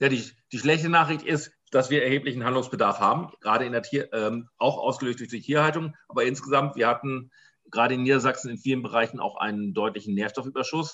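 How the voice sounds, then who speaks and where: Very fast speech from a man, pitch moving in an ordinary way. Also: medium pitch for a man. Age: 50s. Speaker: farmer and farmers' association president. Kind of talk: interview. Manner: halting, many fillers.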